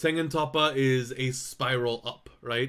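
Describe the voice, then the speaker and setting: A man talks loudly on a very clean recording with a silent background. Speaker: vtuber streamer. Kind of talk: casual chat.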